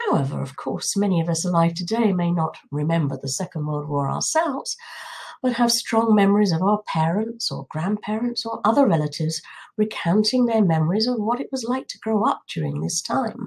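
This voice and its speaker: A woman speaks with a southern English accent at a fairly quick pace. Her voice is somewhat breathy, with very wide pitch swings. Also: medium pitch for a woman. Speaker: political commentator. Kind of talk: monologue.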